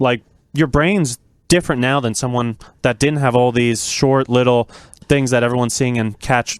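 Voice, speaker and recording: Recorded dry and close with no echo, a man speaks at a moderate pace in a medium pitch with fairly even intonation. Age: 20s. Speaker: young guest. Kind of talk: casual interview chat. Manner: calm.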